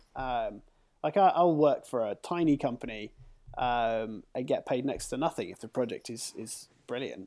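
Over a very clean recording with a silent background, a man with a dark, mellow tone speaks at medium pitch and a moderate pace, with ordinary pitch variation and big swings in loudness. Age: 40s. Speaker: freelance graphic designer and illustrator. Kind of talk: casual chat.

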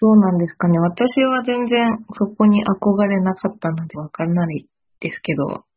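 A woman of medium pitch talks at a moderate pace in a somewhat breathy voice, with ordinary pitch variation and big swings in loudness. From Kyoto, Japan. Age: 20s. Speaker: new farm employee. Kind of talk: casual chat.

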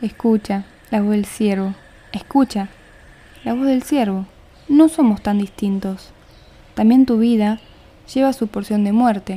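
Her voice is fairly high-pitched, somewhat breathy and dark and mellow in tone, with ordinary pitch variation. The woman speaks at a fairly slow pace, leaving long, frequent pauses. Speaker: podcast host and poetry reader. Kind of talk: poetry reading, spoken word.

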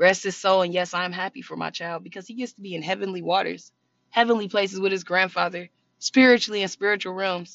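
A woman at a very fast pace, with big swings in loudness. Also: medium pitch for a woman. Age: 20s. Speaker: podcast host. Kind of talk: casual monologue. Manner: animated.

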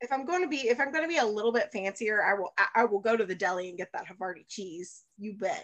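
Talking at a very fast pace with hardly any pauses, a woman uses a fairly high pitch and an Alabama accent. Her intonation is lively and her loudness swings widely. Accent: Southern American (Alabama). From US South, Birmingham, Alabama. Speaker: baker, actor and cooking show host. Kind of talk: casual chat.

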